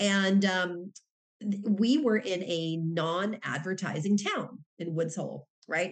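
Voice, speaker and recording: With a plain, everyday voice, a woman speaks at medium pitch with ordinary pitch variation. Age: 50s. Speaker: professor and author. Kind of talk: interview.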